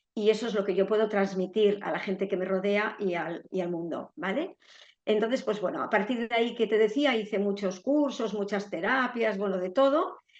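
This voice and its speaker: A woman of medium pitch uses an ordinary speaking voice at a moderate pace, with ordinary pitch variation. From Spain, Basque Country (San Sebastián). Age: 60s. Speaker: retired therapist sharing a grief story. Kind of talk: interview testimony.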